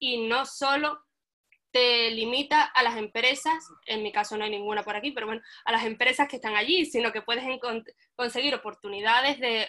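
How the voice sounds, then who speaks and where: Fairly quick speech with a bright, sharp tone and ordinary pitch variation. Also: woman. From Cádiz, Spain. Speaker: web developer. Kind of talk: webinar panel discussion.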